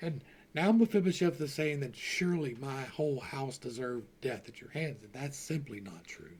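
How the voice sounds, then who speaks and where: A man with an American accent, an ordinary speaking voice, fairly high pitch and lively intonation, at a moderate pace. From Louisiana, US South. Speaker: Bible study teacher, YouTuber. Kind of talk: Bible study with reading aloud and commentary. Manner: casual, self-correcting.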